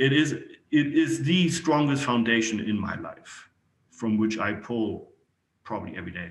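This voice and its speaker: Speaking at a moderate pace with a German accent, a man at medium pitch uses lively intonation and big swings in loudness, with audible room echo around him. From Germany. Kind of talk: interview.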